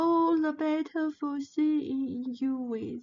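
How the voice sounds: A woman puts on a high-pitched character voice and speaks at a very slow pace.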